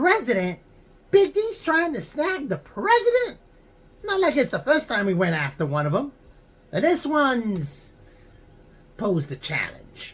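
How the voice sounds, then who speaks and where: This put-on character voice sits at a high pitch and is broken by long, frequent pauses. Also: moderate pace. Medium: read story. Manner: blunt, slangy, easily awed.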